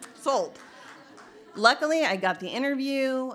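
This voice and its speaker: This woman has a Midwestern American accent and lively intonation. She talks at a moderate pace. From Indiana. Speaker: trail organization executive director. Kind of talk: storytelling talk.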